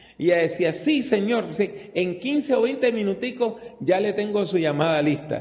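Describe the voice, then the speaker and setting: With lively intonation, a man talks at a moderate pace. The recording has noticeable background noise and audible room echo. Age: 60s. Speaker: preacher. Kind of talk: sermon. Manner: conversational.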